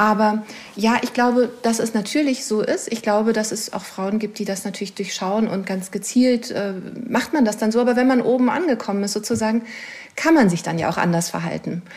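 A woman talks at a fairly quick pace in an ordinary speaking voice, her pitch fairly high and its variation ordinary. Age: 40s. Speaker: author. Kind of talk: interview.

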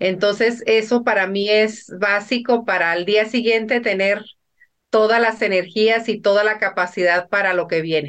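A woman's plain, everyday voice, medium in pitch, fairly slow, with fairly even intonation. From Mexico, northern Sinaloa. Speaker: businesswoman. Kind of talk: interview.

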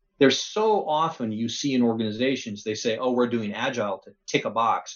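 Fairly quick and at medium pitch, a man speaks in a plain, everyday voice with ordinary pitch variation. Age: 50s. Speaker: technology executive. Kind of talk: interview.

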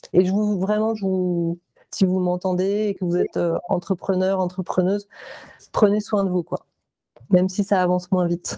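A woman's medium-pitched voice with a dark, mellow tone, monotone and flat at a moderate pace, with long, frequent pauses and a dry, close sound with no echo. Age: 40s. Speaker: visual artist and entrepreneur. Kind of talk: testimony.

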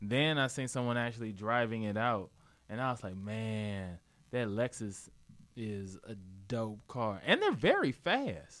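A man speaks fairly slowly, using an ordinary speaking voice, his pitch medium and its variation ordinary. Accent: American. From St. Louis, US Midwest. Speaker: comedian and co-host. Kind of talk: casual chat.

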